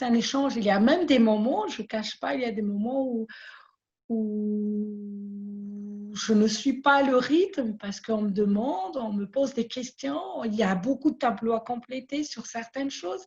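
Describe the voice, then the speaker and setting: A woman's somewhat breathy, fairly high voice at a fairly slow pace, with ordinary pitch variation. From Madagascar. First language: Malagasy (speaking French). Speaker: small business owner. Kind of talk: interview testimony. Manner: halting, many repetitions.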